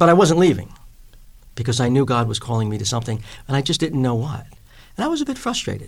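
A man with a New York accent talks at a very fast pace, somewhat breathy. His pitch is fairly high and swings very widely. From New York, Long Island. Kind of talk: interview.

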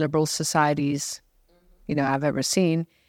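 Dry and close with no echo, this very clean recording with a silent background captures a woman with a very deep, low pitch and fairly even intonation. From Singapore, of Indian heritage. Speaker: hotel and school founder. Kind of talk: casual interview chat.

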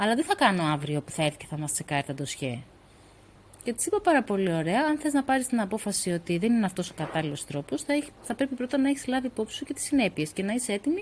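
The voice is somewhat breathy and the pace is very fast. Pitch swings very widely, and loudness rises and falls in big swings. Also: woman. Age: 40s. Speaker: author and co-founder of a women's nonprofit. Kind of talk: interview conversation.

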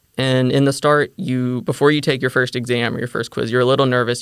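A man with an American accent speaks in a normal speaking voice, at medium pitch with ordinary pitch variation. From US South, Mississippi (near Memphis). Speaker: graduate student. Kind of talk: interview.

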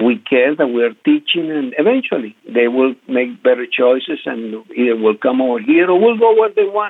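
Delivery proceeds at a moderate speed. It comes in a Spanish accent. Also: man. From Venezuela. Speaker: credit union community relations director. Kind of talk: interview.

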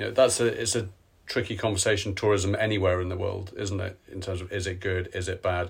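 Over a very clean recording with a silent background, a man with a very deep, low pitch talks fairly quickly in a somewhat breathy, monotone, flat voice. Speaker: podcast host. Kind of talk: interview. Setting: hotel room. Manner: relaxed.

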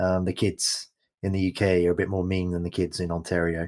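A man with a very deep, low pitch and an enthusiastic tone, on a very clean recording with a silent background. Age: 40s. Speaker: podcast host. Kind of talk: interview conversation.

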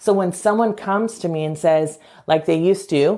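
Here a woman is speaking. She talks at a fairly slow pace. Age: 40s. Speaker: psychotherapist and visibility coach. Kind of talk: live video monologue. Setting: live stream.

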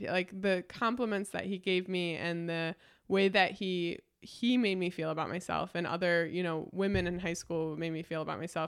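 A woman speaks at a moderate pace and medium pitch in a plain, everyday voice, recorded very cleanly against a silent background. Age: 20s. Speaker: sign language interpreter. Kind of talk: casual chat.

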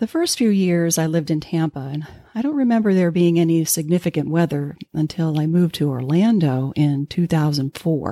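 With an American accent, a woman speaks in a dark, mellow tone at a fairly low pitch, the sound dry and close with no echo. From Pennsylvania mountains. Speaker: podcast host. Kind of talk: storytelling monologue.

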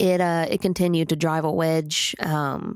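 A woman speaks with a very deep, low pitch and fairly even intonation. The recording is very clean, with a silent background. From Oklahoma. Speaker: podcast host and country singer. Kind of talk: casual storytelling monologue. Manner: chatty, rambling.

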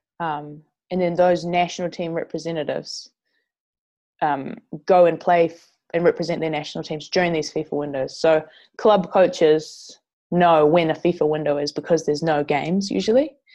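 A woman's dark, mellow voice with a New Zealand accent, fairly low in pitch. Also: fairly even intonation, moderate pace. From New Zealand, Northland. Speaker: professional footballer. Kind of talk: interview.

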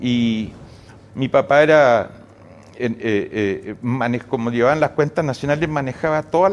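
Fairly slow male speech at a medium pitch, ordinary pitch variation, and noticeable background noise. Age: 70s. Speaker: economist. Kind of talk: interview. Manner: halting with repeated words.

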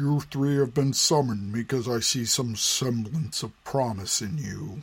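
Using a put-on character voice, a man speaks at a medium pitch. His pace is moderate. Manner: cold, scornful, commanding.

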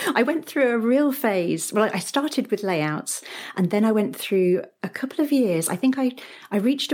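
A woman with a British accent, at a moderate pace and with lively intonation. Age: 40s. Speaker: paper crafter. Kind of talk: casual chat.

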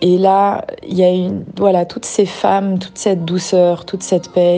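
Over noticeable background noise, a woman speaks at a medium pitch. Her pace is moderate and her intonation monotone and flat. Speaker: regular visitor. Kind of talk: testimony.

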